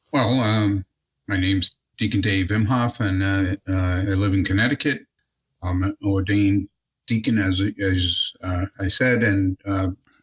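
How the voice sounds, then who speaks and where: A man's fairly low, somewhat breathy voice at a fairly slow pace, with fairly even intonation and very even loudness. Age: 60s. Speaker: deacon, retired aerospace worker. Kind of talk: casual interview. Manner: halting, many fillers.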